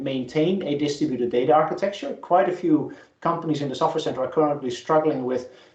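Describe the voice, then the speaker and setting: The speech carries ordinary pitch variation. Audible room echo is present. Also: man. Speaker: professor. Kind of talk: lecture. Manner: fast.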